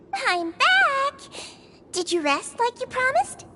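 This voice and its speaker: In a put-on character voice, a woman sounds squeaky and extremely high-pitched. She speaks at a fairly slow pace. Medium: video game. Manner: warm, upbeat.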